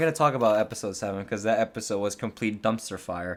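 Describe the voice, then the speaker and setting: The man talks at a very fast pace and a medium pitch in a very clean recording with a silent background. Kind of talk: casual podcast review. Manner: excited, passionate.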